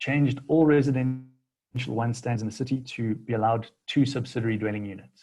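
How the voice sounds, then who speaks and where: Somewhat breathy and dark, mellow in tone, a man of medium pitch talks at a fairly quick pace with fairly even intonation. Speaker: city planning official. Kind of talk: seminar presentation. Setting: video call. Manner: hesitant, many fillers.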